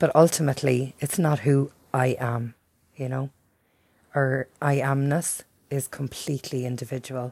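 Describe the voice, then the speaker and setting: In a strong Irish accent, a woman speaks with a very deep, low pitch and a dark, mellow tone, her intonation monotone and flat. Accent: thick Irish. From Ireland. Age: 40s. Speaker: podcast host. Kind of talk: personal monologue. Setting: at home by a window.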